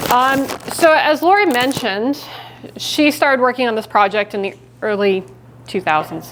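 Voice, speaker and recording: Intonation is lively in this woman's speech. She keeps a moderate pace. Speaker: genealogist and researcher. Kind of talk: public lecture. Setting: presentation to a live audience. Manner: loud.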